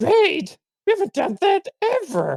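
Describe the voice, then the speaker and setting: Squeaky and extremely high in pitch, a put-on character voice moves at a fairly slow pace. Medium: actual play. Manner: casual, chatty.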